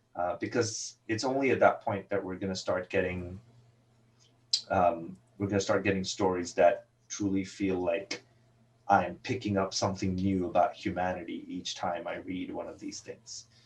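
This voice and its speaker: Here a man talks at a moderate pace. His loudness swings widely. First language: not English. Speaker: comic book writer. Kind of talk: interview. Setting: podcast recording.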